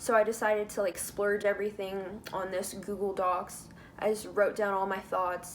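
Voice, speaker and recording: With an American accent, a woman speaks at a moderate pace and medium pitch in a monotone, flat intonation. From United States. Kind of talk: casual talk to camera. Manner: talkative, with stutters.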